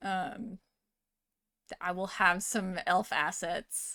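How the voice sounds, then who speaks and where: A woman speaks in an American accent with a bright, sharp tone and ordinary pitch variation. The recording is very clean, with a silent background. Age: 20s. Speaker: vtuber streamer. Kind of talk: casual live stream chat.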